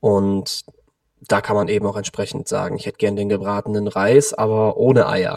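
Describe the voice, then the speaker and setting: With an ordinary speaking voice, a man talks fairly low, his pitch varying in an ordinary way. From Cologne, Germany. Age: 20s. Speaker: vegan nutrition consultant. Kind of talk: interview.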